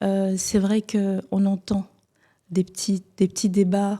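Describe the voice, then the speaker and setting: At a fairly slow pace, a woman with a Cameroonian accent speaks at a medium pitch in a dark, mellow, somewhat breathy tone with monotone, flat intonation, in a very clean recording with a silent background. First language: Bulu (speaking French). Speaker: singer. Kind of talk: TV interview.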